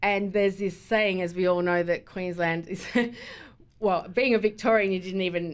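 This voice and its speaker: A woman with an Australian accent speaks at a moderate pace and medium pitch, her intonation fairly even. The recording is very clean, with a silent background. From Melbourne, Australia. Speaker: event organiser. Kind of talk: radio interview.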